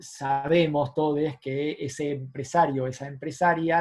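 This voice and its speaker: This man speaks with an Argentine accent and a fairly high pitch. His voice is somewhat breathy, with fairly even intonation. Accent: Argentine Spanish (Rioplatense). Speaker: economist. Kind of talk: lecture. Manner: fast.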